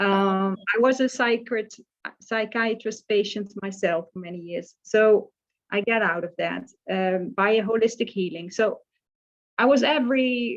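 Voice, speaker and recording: In a Dutch accent, a woman speaks with fairly even intonation. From Netherlands, small village. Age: 60s. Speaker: life coach. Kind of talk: casual interview chat. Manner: halting, with many fillers.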